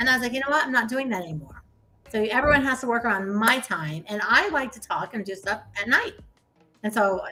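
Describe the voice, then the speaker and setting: A woman speaks in an animated tone at a fairly high pitch. Music plays in the background. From US Midwest, Ohio. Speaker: real estate investor and coach. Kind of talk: casual interview chat.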